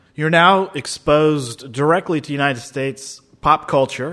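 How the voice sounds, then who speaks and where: A man, in an unremarkable speaking voice, keeps a moderate pace and ordinary pitch variation. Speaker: radio host. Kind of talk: interview.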